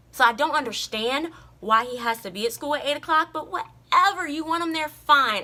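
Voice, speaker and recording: A woman speaks at a high pitch and a fairly quick pace in a raised, projected voice. Her intonation is lively, and her loudness swings widely. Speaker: vlogger. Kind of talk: casual vlog monologue.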